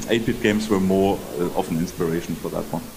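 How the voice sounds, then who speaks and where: A man speaks over noticeable background noise, with audible echo from the room. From Germany. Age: 60s. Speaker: game developer. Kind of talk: interview.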